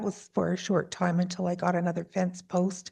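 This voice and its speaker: A soft-spoken woman with a somewhat breathy, dark, mellow tone speaks at a medium pitch. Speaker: applicant, alpaca farmer. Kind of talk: hearing testimony.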